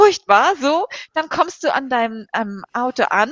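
The woman's intonation is lively. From Hamburg, northern Germany. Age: 40s. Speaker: ultrarunner. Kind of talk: interview. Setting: video call.

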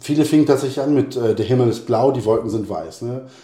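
Fairly quick speech from a man, medium in pitch with ordinary variation, in a plain, everyday voice. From Hesse, Germany (Bad Soden, Polish parents). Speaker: poet and school teacher. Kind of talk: interview.

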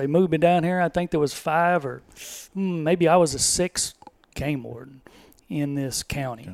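Delivered at a moderate pace with a Texas accent, the speech shows ordinary pitch variation. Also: man. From Texas, Devine. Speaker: retired game warden. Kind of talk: podcast interview.

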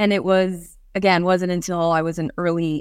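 Speaking with an American accent, a woman uses a fairly low pitch at a moderate pace. The recording is very clean, with a silent background. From New York State (Hudson Valley area). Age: 40s. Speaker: self-defense and performance coach. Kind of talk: interview.

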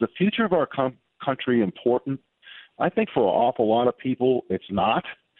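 A man talks in an ordinary speaking voice. His pace is fairly quick and his intonation lively. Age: 60s. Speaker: author and political commentator. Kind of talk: radio interview.

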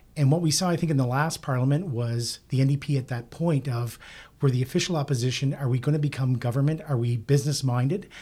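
A man speaks at a very fast pace in a fairly high pitch, with a dark, mellow, somewhat breathy tone. His intonation is fairly even, and the recording is very clean with a silent background. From Nova Scotia. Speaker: political pundit. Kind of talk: panel discussion.

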